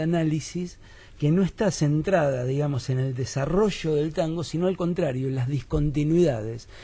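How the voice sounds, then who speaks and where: His pitch sits fairly high. This man's tone is dark and mellow. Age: 50s. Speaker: philosopher and musician. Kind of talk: radio interview.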